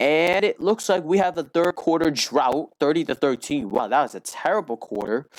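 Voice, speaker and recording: In a dry, close sound with no echo, a man with a fairly high pitch and vocal fry speaks at a moderate pace, his intonation lively and his loudness very even. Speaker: gaming video creator. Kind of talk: game commentary. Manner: halting.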